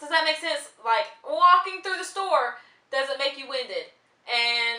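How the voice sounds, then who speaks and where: A woman speaks in a raised, projected voice. Her pitch varies in an ordinary way. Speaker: vlogger. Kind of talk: casual vlog monologue. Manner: fast.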